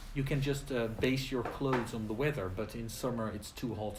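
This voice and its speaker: Amid noticeable background noise and audible room echo, a man speaks at a fairly quick pace with ordinary pitch variation. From Netherlands. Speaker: English teacher. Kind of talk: casual chat. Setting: live stream video.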